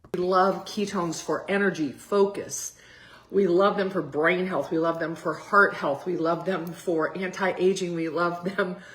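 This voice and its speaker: A woman uses a raspy, put-on character voice at a medium pitch. Her pace is moderate. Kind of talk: enthusiastic, promotional.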